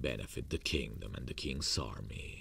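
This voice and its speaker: A man puts on a character voice with a confident, menacing tone, speaking at a moderate pace over clear background noise. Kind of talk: romantic ASMR roleplay. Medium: audio drama. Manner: intimate, confident, softly menacing.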